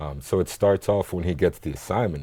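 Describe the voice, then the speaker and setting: On a very clean recording with a silent background, someone with an American accent speaks at a fairly quick pace in a dark, mellow tone with vocal fry. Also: man. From grew up in Africa, American schools, half American half Congolese. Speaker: filmmaker. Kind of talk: TV interview. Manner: conversational with fillers.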